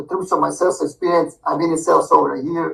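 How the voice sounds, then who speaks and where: A man speaks at a very fast pace with a Croatian accent. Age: 20s. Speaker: sales job applicant. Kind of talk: recorded self-introduction pitch. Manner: fast, mumbling; energetic.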